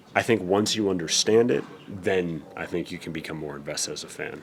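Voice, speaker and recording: With an American accent, a man talks at a fairly quick pace in a very deep, low pitch, with ordinary pitch variation, big swings in loudness and noticeable background noise. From Denver, Colorado, USA. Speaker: professional ring announcer. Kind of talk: interview answer.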